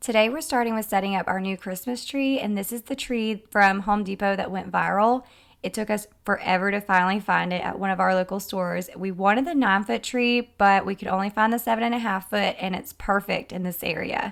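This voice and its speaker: A woman with a Southern US accent speaks in an upbeat tone at medium pitch. She moves at a fairly quick pace with hardly any pauses. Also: ordinary pitch variation. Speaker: lifestyle vlogger. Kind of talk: casual vlog narration.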